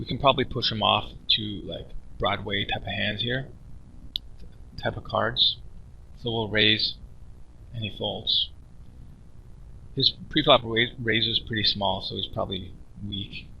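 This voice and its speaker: A soft-spoken, mumbling man at a fairly slow pace, with long, frequent pauses. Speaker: poker streamer / coach. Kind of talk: poker session commentary. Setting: cheap microphone, screen-recording voiceover. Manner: soft-spoken, mumbling, casual.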